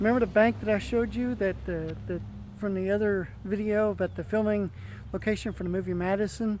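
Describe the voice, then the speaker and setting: A man with a high pitch speaks at a fairly quick pace and with fairly even intonation, the sound dry with no echo and light background noise behind him. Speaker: vlogger. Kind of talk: casual vlog chat. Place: street. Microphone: phone near.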